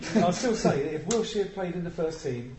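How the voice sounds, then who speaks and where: Noticeable background noise runs behind a man. He talks at a moderate pace with ordinary pitch variation. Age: 50s. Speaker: football fanzine panelist. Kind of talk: casual chat.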